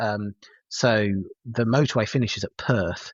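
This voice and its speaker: A man speaks with a West Midlands accent. His pace is moderate and his intonation fairly even. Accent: English West Midlands, noticeable. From West Midlands, England (Herefordshire/Worcestershire). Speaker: paramedic and university lecturer. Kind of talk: podcast interview. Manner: hesitant, many fillers and repetitions.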